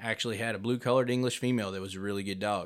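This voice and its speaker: A normal speaking voice from a man at medium pitch, fairly even in intonation, on a very clean recording with a silent background. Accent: American. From southwest Missouri (Neosho). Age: 30s. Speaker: coonhound breeder and musician. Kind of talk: casual chat.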